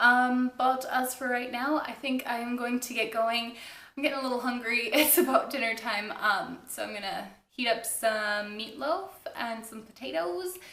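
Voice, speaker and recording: In a room with audible echo, a woman with a high pitch speaks at a moderate pace with ordinary pitch variation. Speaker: knitting podcaster. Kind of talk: casual chat.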